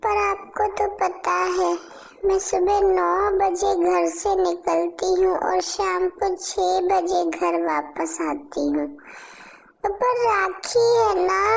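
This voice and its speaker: In a cartoonish character voice, a woman speaks at a very slow pace with very even loudness. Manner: sugary, evasive.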